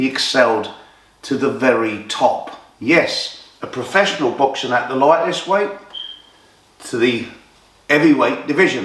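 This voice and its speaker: A man with an English accent speaks at a fairly slow pace in a medium voice, his lively intonation broken by long, frequent pauses, with audible room echo and noticeable background noise. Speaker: boxing storyteller. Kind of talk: storytelling narration. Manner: animated.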